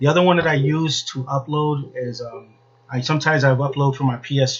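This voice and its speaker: A man talks at a medium pitch in a flat monotone. His voice is somewhat breathy. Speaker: podcast host. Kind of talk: casual monologue. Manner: halting.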